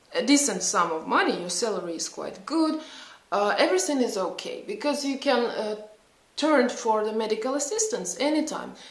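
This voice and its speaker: Pitch swings very widely at a moderate pace, with noticeable background noise and audible room echo. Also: woman, fairly high pitch for a woman. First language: not English. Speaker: psychologist and vlogger. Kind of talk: casual vlog talk. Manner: halting, many fillers.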